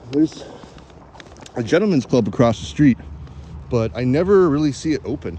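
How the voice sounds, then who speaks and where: With noticeable background noise behind him, a man talks at a medium pitch and a fairly quick pace. His pitch swings very widely, and his pauses are long and frequent. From Canada. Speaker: live streamer. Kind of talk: casual live-stream walking vlog. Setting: outdoors walking in snow.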